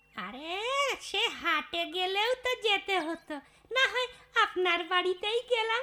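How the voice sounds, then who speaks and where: A woman puts on a cartoonish character voice, extremely high in pitch, speaking at a fairly slow pace. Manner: coaxing, falsely polite.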